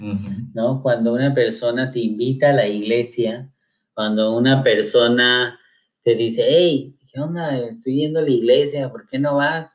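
A man with an ordinary speaking voice speaks at a fairly slow pace, his pitch medium and his intonation fairly even. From Mexico, Cuernavaca, Morelos. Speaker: pastor. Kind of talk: casual chat.

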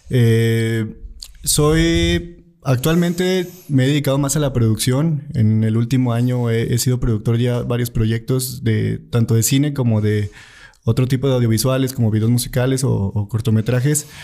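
This man has a dark, mellow tone at a medium pitch. His loudness stays very even, and his pitch varies in an ordinary way. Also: fairly slow pace. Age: 20s. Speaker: filmmaker and producer. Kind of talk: casual interview.

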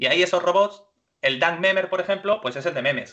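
A man speaks in a bright, sharp tone. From Spain, Málaga (Andalusia). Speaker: gaming tech professional. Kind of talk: interview with screen-share demo.

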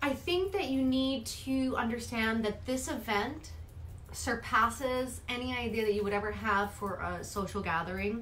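With an American accent, a woman speaks at a moderate pace in a fairly high pitch, with ordinary pitch variation and audible room echo. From New York City, the Bronx. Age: 40s. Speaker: hairstylist and colorist. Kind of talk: casual interview chat.

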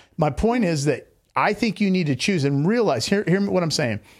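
A man with an American accent speaks at a moderate pace and a high pitch, his loudness very even. The recording is very clean, with a silent background. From Seattle, US Pacific Northwest. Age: 50s. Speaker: podcast host. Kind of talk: casual interview.

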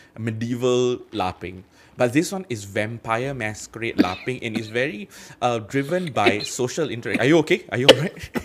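At a moderate pace, a man speaks in an unremarkable speaking voice of medium pitch with lively intonation. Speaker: podcast host and dungeon master. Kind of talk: casual chat.

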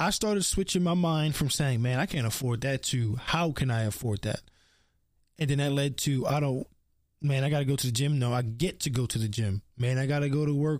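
A man with an American accent and a plain, everyday voice talks at a fairly quick pace with ordinary pitch variation. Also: fairly high pitch for a man, very even loudness, very clean recording, silent background. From US, Baltimore. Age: 20s. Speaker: podcast host. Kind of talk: casual monologue.

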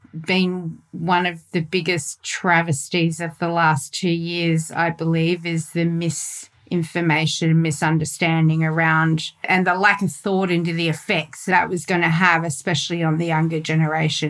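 At a moderate pace and with hardly any pauses, a woman speaks in a fairly low pitch with monotone, flat intonation. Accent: Australian. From Australia. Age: 50s. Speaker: podcast co-host. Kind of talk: casual chat.

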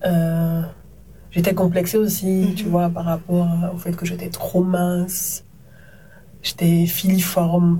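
Very slow and broken by long, frequent pauses, a woman's fairly low voice stays monotone and flat within audible room echo. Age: 30s. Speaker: TV presenter and media entrepreneur. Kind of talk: casual interview conversation.

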